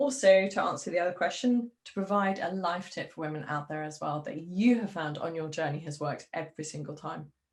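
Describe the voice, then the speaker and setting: Moving through very wide pitch swings, a woman speaks at a moderate pace in a somewhat breathy voice. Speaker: interviewer. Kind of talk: interview.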